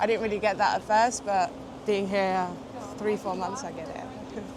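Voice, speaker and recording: A woman's medium-pitched voice at a fairly quick pace, with noticeable background noise and audible room echo. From southern Portugal, French parents; London from 16. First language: French and Portuguese. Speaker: graduate student interviewed on the street. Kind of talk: street interview. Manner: hesitant, many fillers.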